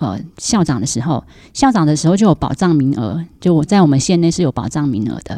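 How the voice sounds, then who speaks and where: Over a quiet background, a woman with a very deep, low pitch and a dark, mellow tone talks at a fairly quick pace with very wide pitch swings. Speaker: school principal. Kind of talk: casual chat.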